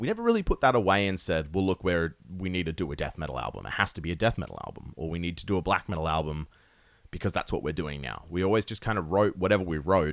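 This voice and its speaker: A man's very deep, low voice at a very fast pace, with an Australian accent, ordinary pitch variation and a very clean recording with a silent background. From Perth, Western Australia. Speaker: metal musician. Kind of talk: casual chat.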